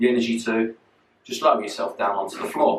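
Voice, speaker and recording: A man with a London accent at a very fast pace. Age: 40s. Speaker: personal trainer. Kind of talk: fitness tutorial. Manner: casual.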